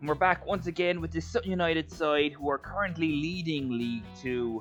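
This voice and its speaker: A man's voice with very wide pitch swings over background music. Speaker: gaming commentator. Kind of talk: video game football commentary.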